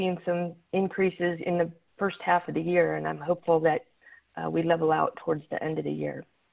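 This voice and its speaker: The voice is shaky. It moves at a moderate pace. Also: woman. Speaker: city traffic safety manager. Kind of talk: presentation.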